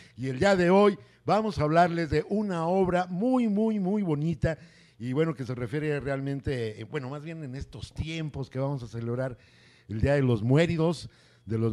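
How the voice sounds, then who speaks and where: A man speaks at a moderate pace, his pitch swinging very widely. His tone is dark and mellow against a quiet background. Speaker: talk show host. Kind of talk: interview show hosting, casual. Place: studio. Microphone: handheld.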